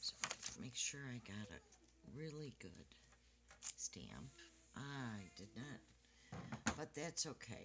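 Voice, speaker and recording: Very slow and bright, sharp in tone, a woman's very deep, low voice swings widely in pitch with vocal fry. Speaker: card-making crafter. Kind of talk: tutorial. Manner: casual. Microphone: quiet recording, hard to hear.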